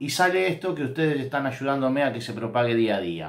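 With an Argentine accent, a man speaks using lively intonation. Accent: Rioplatense Argentine Spanish. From Argentina. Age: 50s. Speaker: former football player and coach, football commentator; coach, football commentator. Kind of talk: football analysis monologue. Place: home room. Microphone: phone near.

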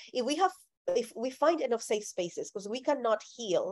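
A woman with a Spanish accent at a moderate pace over a quiet background. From Colombia. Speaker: speaker on faith and theology. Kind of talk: talk followed by Q&A. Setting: video call. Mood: earnest, reflective. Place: home room. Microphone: video call.

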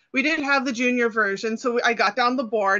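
A woman's high-pitched voice at a moderate pace, with ordinary pitch variation and a quiet background. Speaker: interview guest. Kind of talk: interview answer. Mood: cheerful, laughing at times. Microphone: video call.

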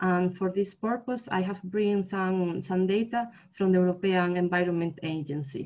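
Speaking fairly slowly, a woman shows ordinary pitch variation against a quiet background. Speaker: presenter. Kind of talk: webinar presentation. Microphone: webcam.

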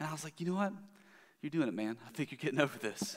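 The background is quiet as a man speaks. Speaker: preacher. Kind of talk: sermon. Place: church.

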